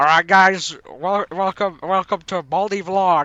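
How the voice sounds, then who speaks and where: A man performs a put-on character voice with a high pitch for a man. He speaks at a fairly slow pace. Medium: machinima. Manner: bossy.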